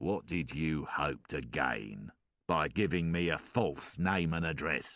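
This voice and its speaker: A man's growling, very deep, low voice at a fairly slow pace. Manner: slow, threatening.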